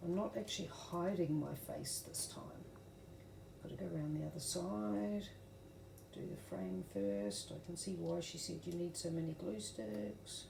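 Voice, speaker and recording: With a very deep, low pitch and very wide pitch swings, a woman talks at a fairly slow pace. Her voice carries audible room echo. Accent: New Zealand. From New Zealand. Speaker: craft tutorial creator. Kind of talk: tutorial. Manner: casual, with fillers and self-corrections.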